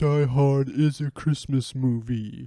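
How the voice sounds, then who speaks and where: Using a put-on character voice, a man speaks at a fairly slow pace with a medium pitch. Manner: smug, matter-of-fact.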